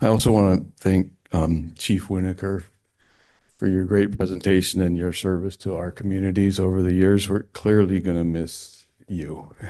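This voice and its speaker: Soft-spoken and monotone with flat intonation, a man talks at a moderate pace in a very deep, low pitch with a dark, mellow tone. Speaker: landscape architect, public commenter. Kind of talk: public comment at meeting. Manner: soft-spoken, hard to hear; hesitant, many fillers.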